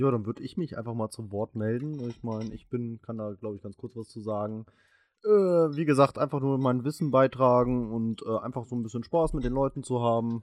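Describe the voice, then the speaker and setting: With an ordinary speaking voice, a man talks at a fairly quick pace and medium pitch, using ordinary pitch variation in a dry, close sound with no echo. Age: 20s. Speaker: podcast co-host. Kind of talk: casual chat.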